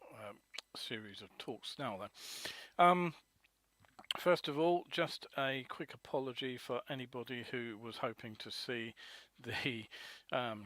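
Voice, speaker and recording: A man's bright, sharp tone at medium pitch, with ordinary pitch variation, a fairly slow pace, long, frequent pauses and big swings in loudness. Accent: British. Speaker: motorcycle news webcast host. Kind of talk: live webcast news roundup. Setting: live webcast. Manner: hesitant, many fillers.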